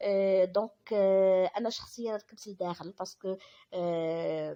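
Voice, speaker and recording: A woman's medium-pitched voice, fairly even in intonation, at a very slow pace. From Algeria. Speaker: vlogger. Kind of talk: vlog voiceover narration. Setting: voiceover recorded after filming. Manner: halting, many fillers and restarts.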